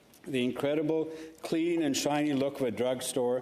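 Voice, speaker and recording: Noticeable background noise and audible room echo surround a man's voice. He speaks at a fairly slow pace with fairly even intonation. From Karachi, Pakistan, then Toronto from teens. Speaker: senator. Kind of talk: formal speech in legislative chamber. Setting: Senate chamber. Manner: formal.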